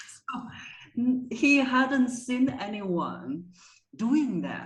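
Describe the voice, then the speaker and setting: Amid audible room echo, a woman with a high pitch and ordinary pitch variation speaks at a very slow pace. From China. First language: Chinese. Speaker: voice coach. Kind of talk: interview.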